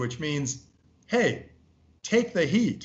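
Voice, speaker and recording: A man with an American accent speaks at a very slow pace. His voice is somewhat breathy, and his pitch swings very widely. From US. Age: 60s. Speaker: venture capitalist. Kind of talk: interview. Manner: animated.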